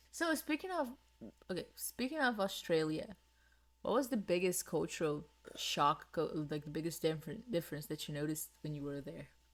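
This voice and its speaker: This speaker talks at a moderate pace in a Portuguese accent. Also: woman. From Brazil. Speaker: podcast co-host. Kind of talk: casual chat.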